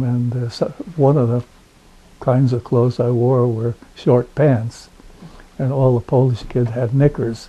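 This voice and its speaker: A man's medium-pitched, monotone, flat delivery at a fairly slow pace, with noticeable background noise. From Rhode Island. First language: not English. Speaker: oral history interviewee. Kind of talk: oral history interview. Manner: halting, many fillers.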